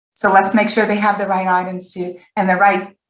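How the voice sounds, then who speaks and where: The speaker is a woman. Some breathiness colors her voice. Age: 60s. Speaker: panelist, former foster youth. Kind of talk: webinar panel discussion.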